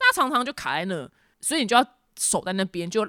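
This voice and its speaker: A woman with a Taiwanese accent and very wide pitch swings, on a very clean recording with a silent background. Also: dry, close sound with no echo. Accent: Taiwanese Mandarin. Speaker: podcast host. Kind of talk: casual solo talk and news commentary.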